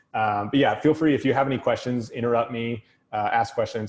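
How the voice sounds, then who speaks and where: Speaking at a very fast pace, this man has a medium pitch. His intonation stays fairly even. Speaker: tech consultant and trainer. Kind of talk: technical talk.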